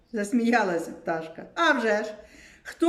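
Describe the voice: The reading aloud is plain, and the intonation is lively.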